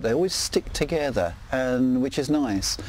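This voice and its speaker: Over noticeable background noise, a man with an English accent talks at a fairly slow pace. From England. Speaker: neighbour interviewed for a documentary. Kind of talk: interview. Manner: hesitant, with fillers.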